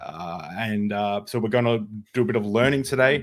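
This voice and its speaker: Over a very clean recording with a silent background, a voice in an Australian accent shows ordinary pitch variation. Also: man. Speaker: podcast host. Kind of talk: casual interview chat. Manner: halting, many fillers.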